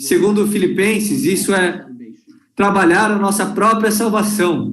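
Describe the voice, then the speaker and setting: The speech comes at a fairly slow pace. Room echo is audible. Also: man. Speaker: conference speaker or interpreter. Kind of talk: sermon. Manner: slow, deliberate.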